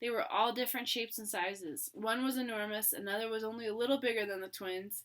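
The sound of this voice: Reading in an unforced voice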